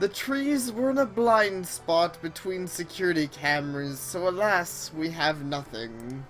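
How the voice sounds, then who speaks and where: A woman's put-on character voice at a fairly low pitch, fairly slow pace and hardly any pauses, over clear background noise. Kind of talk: comic overacting. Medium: game stream. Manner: haughty, condescending.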